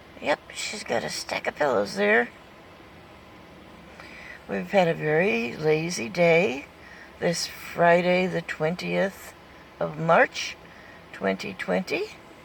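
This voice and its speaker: Her pitch very deep and low, a woman speaks with very wide pitch swings and long, frequent pauses. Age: 70s. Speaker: van-dwelling nomad. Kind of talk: casual talk to pet on camera.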